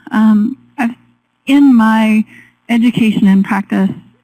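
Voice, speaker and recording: Soft-spoken woman with a fairly high pitch, a dark, mellow tone, a somewhat breathy quality and fairly even intonation. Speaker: forestry researcher and educator. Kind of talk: webinar presentation. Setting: webinar.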